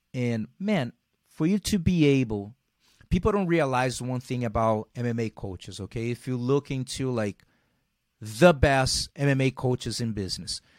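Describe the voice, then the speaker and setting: Lively intonation marks this man's medium-pitched voice at a moderate pace. The sound is dry and close, with no echo. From Brazil. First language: Portuguese. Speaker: jiu-jitsu champion and gym owner. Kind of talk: interview. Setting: video call.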